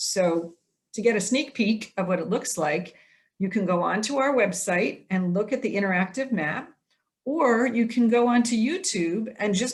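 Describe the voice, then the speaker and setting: This woman sounds somewhat breathy. She talks at a moderate pace with lively intonation. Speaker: program host. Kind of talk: presentation over Zoom. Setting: video call.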